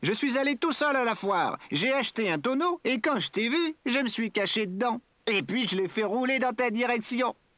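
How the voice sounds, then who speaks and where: Someone performs a put-on character voice at a fairly high pitch and a moderate pace. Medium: read story. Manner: bright, cheerful.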